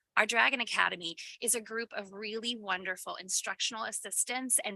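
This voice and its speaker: A woman speaks loudly and fairly quickly in a fairly high, bright, sharp voice with fairly even intonation, in a dry, close sound with no echo. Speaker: school principal. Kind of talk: presentation. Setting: school board meeting.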